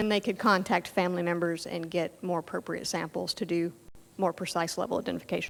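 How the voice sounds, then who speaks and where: Vocal fry marks this very fast delivery in an American accent. The intonation is fairly even. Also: woman, fairly low pitch for a woman. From US South. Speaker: genetics professor. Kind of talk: lecture.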